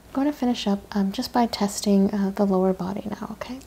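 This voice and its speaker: A soft-spoken woman talks at a fairly quick clip in a gentle tone. Her intonation stays fairly even. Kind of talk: clinical instructions and explanation. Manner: soft-spoken, gentle ASMR delivery. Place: home room. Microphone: lapel.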